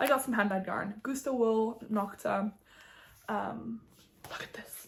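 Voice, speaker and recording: A woman talks in a fairly high pitch. There is a somewhat breathy quality to her voice. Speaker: knitting podcaster. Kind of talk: casual chat. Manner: animated.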